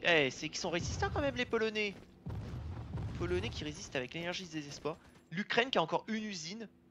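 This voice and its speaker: Talking at a very fast pace in an animated tone, the speaker leaves long, frequent pauses. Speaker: gaming video creator. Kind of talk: let's play commentary.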